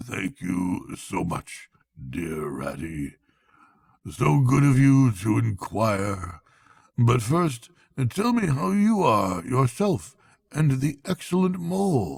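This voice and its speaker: In a put-on character voice at medium pitch, a man talks very slowly with very wide pitch swings. He leaves long, frequent pauses. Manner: politely gracious.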